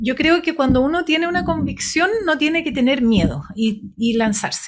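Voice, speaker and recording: At a fairly slow pace, a woman speaks with very wide pitch swings in a very clean recording against a silent background. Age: 60s. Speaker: engineer and former government minister. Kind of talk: radio interview.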